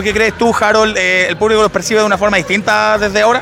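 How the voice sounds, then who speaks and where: Against noticeable background noise, a man with a Chilean accent speaks in a raised, projected voice at a high pitch and a very fast pace. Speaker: wrestling podcast host. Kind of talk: casual chat.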